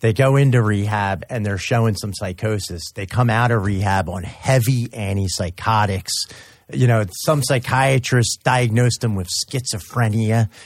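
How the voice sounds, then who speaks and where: On a very clean recording with a silent background, a somewhat breathy man speaks at a moderate pace and fairly low pitch, with ordinary pitch variation. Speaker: radio co-host and addiction counselor. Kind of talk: casual radio talk.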